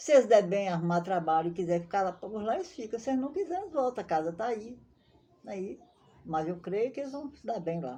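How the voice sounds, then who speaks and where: A woman talks at a moderate pace and a medium pitch. Her tone is dark and mellow, her intonation lively. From Brazil, southern Bahia (Maiquinique region). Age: 70s. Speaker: elderly local resident telling her life story. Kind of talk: interview, life story.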